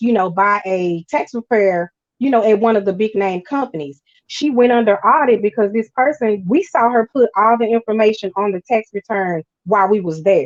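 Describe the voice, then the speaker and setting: A woman speaks at a medium pitch with ordinary pitch variation. The sound is dry and close, with no echo. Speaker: tax preparer and credit repair business owner. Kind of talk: interview. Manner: fast.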